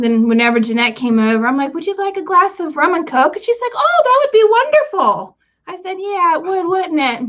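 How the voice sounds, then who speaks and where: This woman has an American accent. Her voice moves through very wide pitch swings. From West Virginia. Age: 40s. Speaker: vlogger. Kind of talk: casual chat. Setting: livestream.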